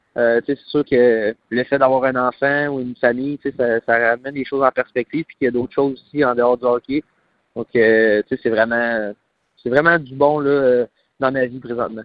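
A man speaks at medium pitch with monotone, flat intonation. His loudness swings widely. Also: moderate pace. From Quebec, Trois-Rivières (Mauricie). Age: 20s. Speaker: professional hockey player. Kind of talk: phone interview. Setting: phone call.

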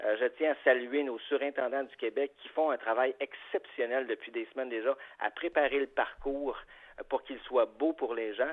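Delivered in a normal speaking voice, the speech has fairly even intonation but big swings in loudness. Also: man. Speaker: golf association executive. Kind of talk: radio interview.

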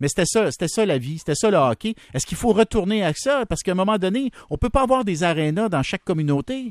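Against a quiet background, a man with a high pitch talks at a very fast pace with very wide pitch swings, in a dry, close sound with no echo. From rural Quebec, Berthier area. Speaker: radio host. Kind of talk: radio interview.

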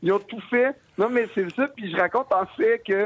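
A man speaks with a Quebec accent. His pace is moderate. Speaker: comedian. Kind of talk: radio interview. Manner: halting.

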